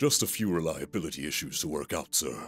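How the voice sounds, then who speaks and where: A man puts on a character voice with a very deep, low pitch on a very clean recording with a silent background. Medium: fan dub. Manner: nervous, stammering.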